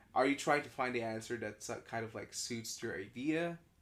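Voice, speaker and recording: A man speaks at medium pitch and a moderate pace, with ordinary pitch variation. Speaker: podcast co-host and artist. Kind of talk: casual chat.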